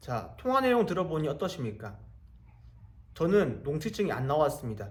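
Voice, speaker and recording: A man with a fairly high pitch and vocal fry speaks at a moderate pace. His pitch swings very widely, and the room echo is audible. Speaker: real estate auction investor and YouTuber. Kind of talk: casual explainer monologue. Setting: abroad in Egypt while traveling.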